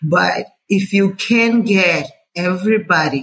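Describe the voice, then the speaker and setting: The voice belongs to a woman and sounds somewhat breathy. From Angola. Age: 30s. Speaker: health ministry official. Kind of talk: interview.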